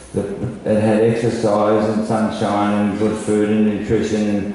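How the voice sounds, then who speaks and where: A man in an Australian accent, with audible room echo and noticeable background noise. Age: 70s. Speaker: songwriter and cancer patient. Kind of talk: personal testimony. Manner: halting.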